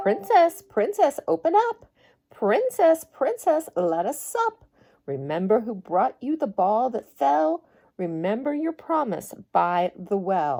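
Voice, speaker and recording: A woman uses a put-on character voice with a fairly high pitch at a fairly slow pace. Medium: read story.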